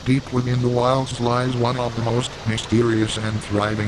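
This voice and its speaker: Fairly slow delivery with fairly even intonation over noticeable background noise. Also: man. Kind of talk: mock nature documentary narration.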